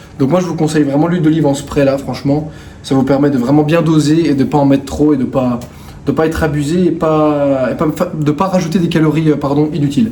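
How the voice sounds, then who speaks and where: The speech comes at a fairly quick pace with fairly even intonation and very even loudness, over noticeable background noise and audible room echo. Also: man, fairly high pitch for a man. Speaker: fitness coach and vlogger. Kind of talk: casual vlog. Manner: hesitant, many fillers.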